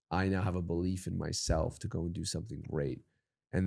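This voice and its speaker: In a very clean recording with a silent background, a man with a very deep, low pitch speaks with ordinary pitch variation. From Canada (Toronto). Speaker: podcast host. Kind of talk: interview. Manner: casual, filler-heavy.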